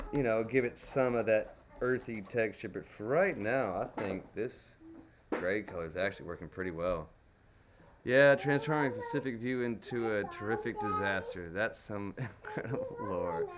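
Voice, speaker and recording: In a Texas accent, a man with a medium pitch speaks in a relaxed tone at a moderate pace, his intonation lively. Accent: native Texas. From Texas, Dallas. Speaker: crayon painting streamer. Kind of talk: live painting tutorial chat. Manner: casual, relaxed.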